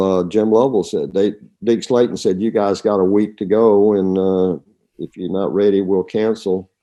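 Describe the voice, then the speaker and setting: With a Southern US accent, a man speaks fairly slowly at a fairly low pitch in a dark, mellow tone. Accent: Southern drawl. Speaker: retired astronaut. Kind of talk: interview answer.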